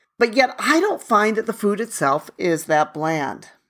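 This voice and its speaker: A woman's medium-pitched voice with very wide pitch swings and a fairly slow pace, on a very clean recording with a silent background. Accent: American. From United States. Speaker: podcast host. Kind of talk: solo podcast monologue. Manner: conversational.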